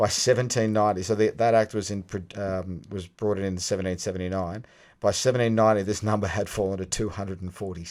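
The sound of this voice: Fairly even intonation runs through this unforced reading voice.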